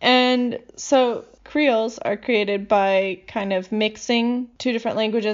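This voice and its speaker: A woman with a normal speaking voice and an American accent speaks at a fairly high pitch. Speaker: podcast host, language enthusiast. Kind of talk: casual chat.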